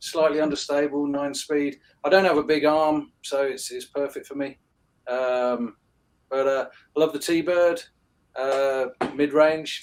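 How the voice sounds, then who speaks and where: A man with a London accent speaks in a fairly high pitch with monotone, flat intonation. He leaves long, frequent pauses. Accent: British (London). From London, England (Hammersmith). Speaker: disc golf shop co-owner. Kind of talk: podcast interview. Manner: halting, many fillers.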